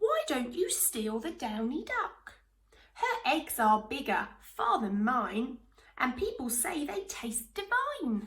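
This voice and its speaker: A woman speaks in a put-on character voice, high-pitched and at a fairly slow pace. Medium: read story. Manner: wheedling, sly.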